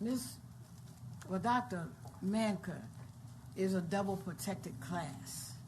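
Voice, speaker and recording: A very slow, somewhat breathy delivery in an American accent, with very wide pitch swings, long, frequent pauses and audible room echo. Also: woman, fairly low pitch for a woman. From Hopewell, Virginia, US South. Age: 60s. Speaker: city council member. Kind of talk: council meeting discussion.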